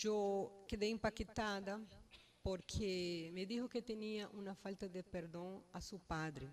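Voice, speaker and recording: A woman speaks very slowly with a Brazilian accent. Her intonation stays fairly even. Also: medium pitch for a woman. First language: Portuguese (speaking Spanish). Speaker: family member giving eulogy. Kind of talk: eulogy. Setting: funeral home. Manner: halting.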